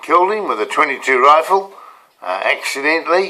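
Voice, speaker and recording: A man with a New Zealand accent speaks at a moderate pace. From New Zealand, rural Canterbury/Otago. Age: 70s. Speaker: motivational coach. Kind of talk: casual personal storytelling to camera. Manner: halting, many fillers and repeats.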